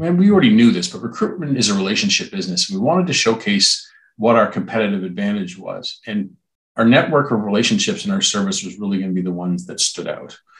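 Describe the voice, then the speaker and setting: A man with an ordinary speaking voice and medium pitch talks at a fairly quick pace with lively intonation. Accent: Canadian. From Ontario, Canada (Brantford). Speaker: hospitality recruitment executive. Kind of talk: interview.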